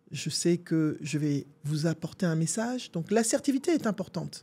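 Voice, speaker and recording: With a dark, mellow and somewhat breathy tone, a woman talks at a moderate pace, her pitch swinging very widely. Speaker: coach and video host. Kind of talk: advice monologue to camera. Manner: assertive, emphatic.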